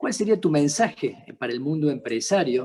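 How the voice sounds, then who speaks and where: A man speaks with a Córdoba accent. His pitch sits fairly high for a man. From Argentina, Córdoba. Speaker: interviewer, accountant and entrepreneur. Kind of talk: interview. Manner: halting.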